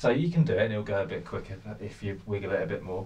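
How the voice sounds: Amid audible room echo, a man speaks at a fairly quick pace with ordinary pitch variation.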